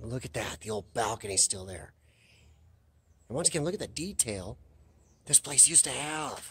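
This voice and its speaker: At a moderate pace, a man talks in a somewhat breathy voice. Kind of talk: casual vlog commentary. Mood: excited, amazed. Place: hall. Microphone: phone near.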